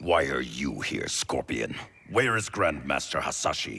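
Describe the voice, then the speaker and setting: This man uses a put-on character voice with a growl and a very deep, low pitch. He talks at a moderate pace. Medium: video game. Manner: wary, commanding.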